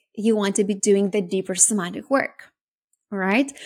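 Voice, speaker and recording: A somewhat breathy woman at a fairly high pitch and moderate pace, on a very clean recording with a silent background. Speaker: podcast host and business coach. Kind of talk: solo podcast monologue. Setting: recorded podcast.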